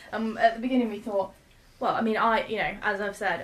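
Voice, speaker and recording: There is noticeable background noise. Through it, a woman speaks in a fairly high pitch. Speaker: brewer. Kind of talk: casual chat. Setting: sharing one microphone.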